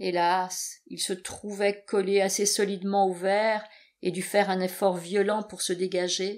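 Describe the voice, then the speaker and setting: On a very clean recording with a silent background, a woman of medium pitch speaks at a fairly slow pace in a flat monotone, with big swings in loudness. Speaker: audiobook narrator. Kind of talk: dramatic narration, audiobook reading aloud of a novel. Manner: expressive, tense, dramatically paced.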